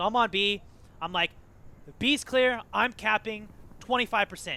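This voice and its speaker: Raising and projecting his high voice, a man talks at a moderate pace with ordinary pitch variation. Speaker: gaming team captain and tutorial host. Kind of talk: tutorial. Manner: loud; casual, filler-heavy.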